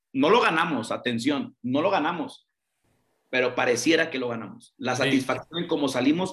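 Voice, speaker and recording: The pitch variation is ordinary. A man delivers his words at a moderate pace. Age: 30s. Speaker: women's football coach. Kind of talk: interview. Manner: halting, repeats words.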